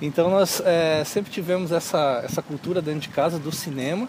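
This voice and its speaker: Noticeable background noise runs through the clip. A high-pitched man speaks with fairly even intonation. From southern Brazil, Lages (Santa Catarina). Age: 30s. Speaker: filmmaker and media teacher. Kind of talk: interview.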